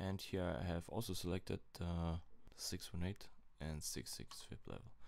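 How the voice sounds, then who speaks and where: A man with a German accent speaks in a very deep, low pitch. His voice has vocal fry and ordinary pitch variation. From Germany. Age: 20s. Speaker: crypto trader. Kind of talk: casual chart analysis talk to camera. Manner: slow, hesitant.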